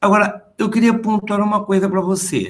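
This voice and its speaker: A man's high-pitched voice at a moderate pace. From interior of São Paulo state (Presidente Prudente), then Rio from age 11. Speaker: history professor. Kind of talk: interview.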